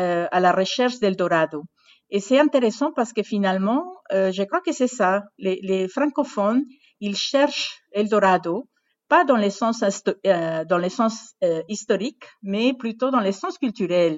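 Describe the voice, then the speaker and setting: A woman with a Spanish accent, at medium pitch, with lively intonation and a fairly slow pace. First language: Spanish (speaking French). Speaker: university language program director. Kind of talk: interview. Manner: halting, many hesitations.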